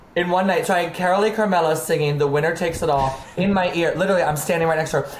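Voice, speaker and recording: A woman with an American accent talks at a very fast pace and very even loudness amid noticeable background noise. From Maryland. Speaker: drag artist. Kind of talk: casual chat. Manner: animated.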